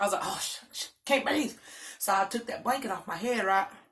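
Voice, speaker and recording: Loud and animated, a woman talks very fast at medium pitch with ordinary pitch variation and a bright, sharp tone. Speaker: mukbang vlogger. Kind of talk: storytime while eating.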